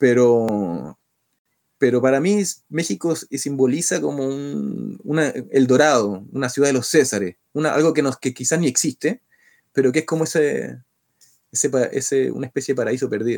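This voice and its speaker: In a very clean recording with a silent background and a dry, close sound with no echo, the speech goes at a moderate pace with ordinary pitch variation. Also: man, medium pitch for a man. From Chile. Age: 30s. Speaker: rock band singer. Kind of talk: interview. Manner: halting, many repetitions.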